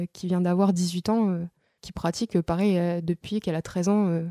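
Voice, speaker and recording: Dark and mellow in tone, a woman talks at a fairly quick pace. The very clean recording has a silent background and a dry, close sound with no echo. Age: 20s. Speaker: billiards champion. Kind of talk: interview.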